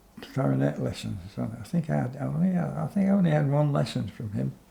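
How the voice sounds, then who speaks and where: A man speaks with a dark, mellow tone that is somewhat breathy. His pitch swings very widely at a moderate pace. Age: 80s+. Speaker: jazz musician. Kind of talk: interview. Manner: halting.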